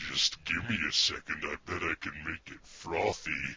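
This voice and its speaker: A man uses a put-on character voice with a growling quality. His pitch is very deep and low, and his pace is moderate. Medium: audio drama. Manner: dry, deadpan.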